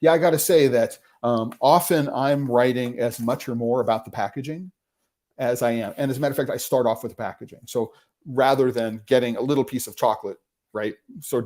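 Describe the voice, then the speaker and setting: A man's dark, mellow voice at medium pitch, very fast, with ordinary pitch variation and big swings in loudness. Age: 60s. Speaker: chocolate critic and live stream host. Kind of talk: live stream Q&A. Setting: live stream. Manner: halting, many fillers.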